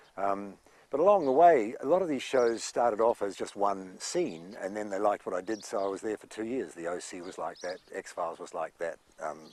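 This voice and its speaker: Speaking fairly quickly, a man has a New Zealand accent. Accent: New Zealand accent, kept. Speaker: actor. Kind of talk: interview anecdotes. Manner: hesitant, many fillers.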